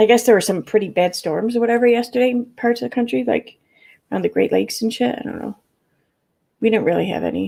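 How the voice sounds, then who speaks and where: A woman speaks with a Midwestern accent. Her pace is very fast. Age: 40s. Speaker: YouTube livestreamer. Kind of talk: casual livestream chat; reading aloud court documents. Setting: live stream.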